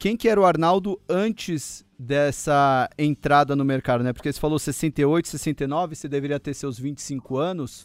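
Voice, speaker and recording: Recorded dry and close with no echo, a man with an unremarkable speaking voice talks at a fairly high pitch with ordinary pitch variation and hardly any pauses. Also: fairly slow pace, very clean recording, silent background. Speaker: podcast host. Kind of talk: casual interview.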